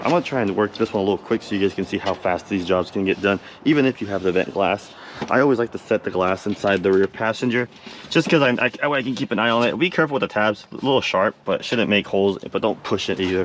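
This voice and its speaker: Very fast speech from a man, with noticeable noise behind him. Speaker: auto glass technician. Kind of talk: tutorial. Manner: casual.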